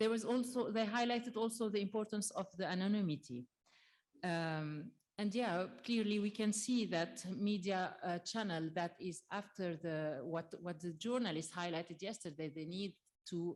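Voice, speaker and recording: Speaking at a moderate pace, a woman with a French accent has a medium pitch and ordinary pitch variation. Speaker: trade union representative. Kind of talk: conference closing summary. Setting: conference with audience. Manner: halting, many fillers.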